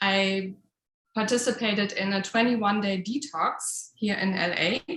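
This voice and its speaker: A woman with a German accent speaks at a moderate pace with fairly even intonation. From Germany. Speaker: home cook and community member. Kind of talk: personal story on video call.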